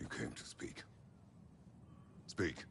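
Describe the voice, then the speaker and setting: A man performs a put-on character voice while background noise comes through clearly. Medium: video game. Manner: terse, grave.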